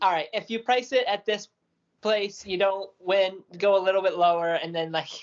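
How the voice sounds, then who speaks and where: Using an ordinary speaking voice, a woman talks at a moderate pace with medium pitch and fairly even intonation. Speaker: podcast co-host. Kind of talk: casual chat.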